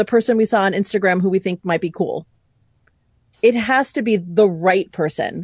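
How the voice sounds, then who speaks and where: A woman's medium-pitched voice with an American accent, fairly quick and with ordinary pitch variation, in a dry, close sound with no echo against a quiet background. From US Northeast (New York City). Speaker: business communication coach. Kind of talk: casual interview chat.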